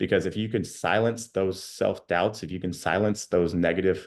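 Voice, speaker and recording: A man's voice, very deep and low in pitch, is heard against a quiet background. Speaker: life coach. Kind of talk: online workshop. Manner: fast.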